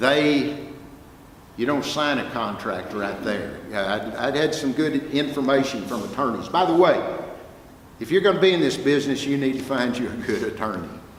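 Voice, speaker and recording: Man with a Texas accent, fairly high pitch and lively intonation at a moderate pace, amid noticeable background noise and audible room echo. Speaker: music professor and record producer. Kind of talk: guest talk to students. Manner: animated storytelling.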